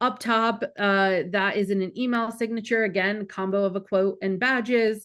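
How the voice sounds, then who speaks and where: A normal speaking voice moves at a moderate pace with fairly even intonation over a quiet background. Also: woman. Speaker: marketing director presenting a webinar. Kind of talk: webinar presentation with Q&A.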